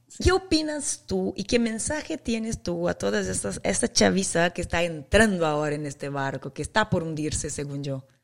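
A woman's fairly low voice with very wide pitch swings, a moderate pace and hardly any pauses. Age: 40s. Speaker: podcast host, mom influencer and former model. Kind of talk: casual chat. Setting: remote call from home.

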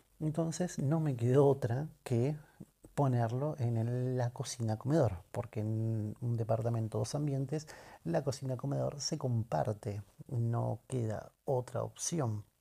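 Recorded very cleanly against a silent background, the voice is somewhat breathy, with a dark, mellow tone and ordinary pitch variation. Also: man. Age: 30s. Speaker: podcaster and audiovisual producer. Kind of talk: casual solo monologue. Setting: at home.

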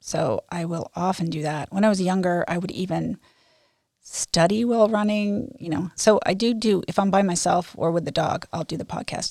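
At a moderate pace and a medium pitch, a woman talks in an ordinary speaking voice, the sound dry and close with no echo. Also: ordinary pitch variation. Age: 60s. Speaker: amateur runner. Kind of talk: interview.

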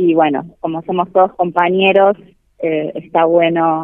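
A woman's fairly low-pitched voice moves along at a very slow pace. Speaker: university researcher and sociology lecturer. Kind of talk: interview.

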